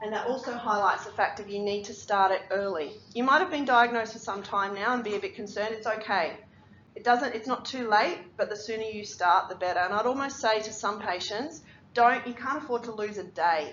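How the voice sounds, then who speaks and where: At a fairly quick pace and a fairly high pitch, a woman with an Australian accent speaks with ordinary pitch variation, and room echo is audible. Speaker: physiotherapist. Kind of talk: lecture. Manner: fast.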